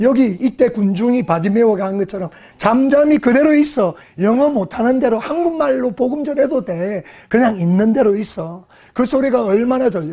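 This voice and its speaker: A high-pitched man with lively intonation. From South Korea, Gyeongsang region. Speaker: pastor. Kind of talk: sermon.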